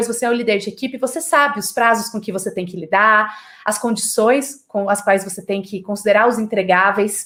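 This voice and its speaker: A woman with a fairly high voice speaks in an animated tone at a moderate pace, with ordinary pitch variation. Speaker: creativity lecturer. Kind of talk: online lecture.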